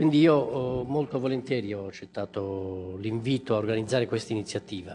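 A man's dark, mellow tone at a moderate pace, with hardly any pauses, ordinary pitch variation and light background noise. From Italy. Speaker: member of parliament; speaker, politician. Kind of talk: formal speech. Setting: press conference in parliament. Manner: hesitant, many fillers. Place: hall. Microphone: podium.

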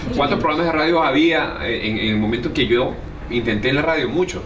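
Against noticeable background noise, a man with a Venezuelan accent talks at a fairly quick pace and a fairly high pitch. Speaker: comedian and radio host. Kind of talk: interview answer. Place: bar. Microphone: phone near.

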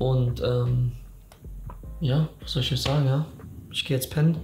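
A man speaks in a monotone, flat voice at a moderate pace. Faint music sits in the background, and there is audible room echo. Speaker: vlogger. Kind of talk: casual vlog chat. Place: home room.

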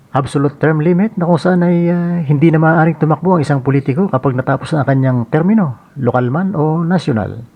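A man with an ordinary speaking voice talks at a fairly quick pace with hardly any pauses. His pitch is fairly high, with ordinary variation, and his loudness stays very even. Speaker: political commentary vlogger. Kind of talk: scripted monologue commentary.

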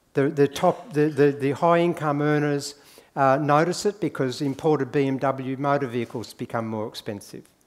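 A man speaks with an Australian accent. His voice is fairly high, with ordinary pitch variation. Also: moderate pace. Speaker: economist; conference speaker. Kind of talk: conference talk. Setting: stage with audience. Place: hall.

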